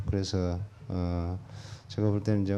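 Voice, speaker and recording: A man's dark, mellow tone at a fairly slow pace. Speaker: church member giving testimony. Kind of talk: testimony. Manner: halting, many fillers.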